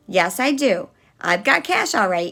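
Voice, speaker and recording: Putting on a raspy character voice, a woman at a medium pitch talks at a moderate pace with very wide pitch swings. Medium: read story. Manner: gentle, patient.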